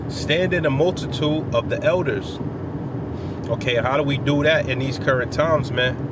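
Loud background noise surrounds a man talking at a moderate pace, his voice dry with no echo. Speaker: religious teacher. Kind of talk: informal sermon. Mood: earnest, relaxed. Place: car. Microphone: phone near.

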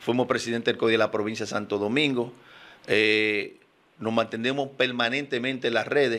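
At a moderate pace, a man speaks with a bright, sharp tone and monotone, flat intonation. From Dominican Republic. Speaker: politician and engineer; politician. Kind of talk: radio interview. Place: studio. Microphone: studio mic.

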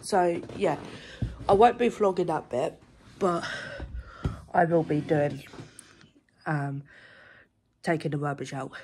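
Over light background noise, a woman with a very deep, low voice speaks at a fairly slow pace with ordinary pitch variation. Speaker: vlogger. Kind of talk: casual vlog chat. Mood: jokey, relaxed. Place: home room. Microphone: phone near.

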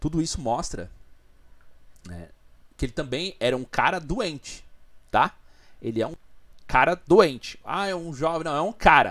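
Against a quiet background, the speaker uses vocal fry and lively intonation at a fairly slow pace, with long, frequent pauses and big swings in loudness. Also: man. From Brazil. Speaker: video commentator. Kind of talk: angry rant, indignant commentary on a crime. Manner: indignant, emphatic, raised-voice ranting; repetitive, stammering, colloquial. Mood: serious, indignant. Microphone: studio mic.

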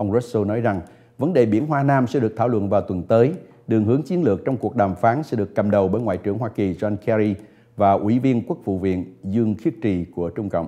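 Music plays in the background as a man talks at a very fast pace. His voice is fairly low in pitch, with ordinary variation. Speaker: news anchor. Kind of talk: news reading. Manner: formal.

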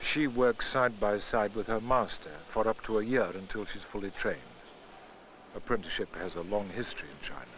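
A man's unremarkable speaking voice at medium pitch, fairly quick pace and fairly even intonation. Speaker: documentary narrator. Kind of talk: scripted narration. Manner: formal.

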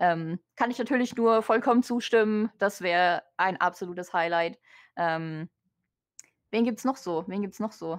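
A woman speaks in a normal speaking voice at a moderate pace with ordinary pitch variation. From Germany. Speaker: vtuber. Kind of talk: interview.

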